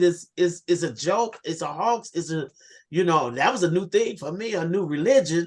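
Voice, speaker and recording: Her delivery comes at a moderate pace and a medium pitch. It is a plain, everyday voice from a woman. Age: 60s. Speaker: environmental activist. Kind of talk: panel discussion. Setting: video call.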